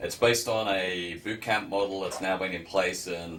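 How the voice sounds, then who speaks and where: A man with a non-native accent talks at a moderate pace with fairly even intonation. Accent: non-American, noticeable. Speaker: university business program director. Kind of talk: educational presentation.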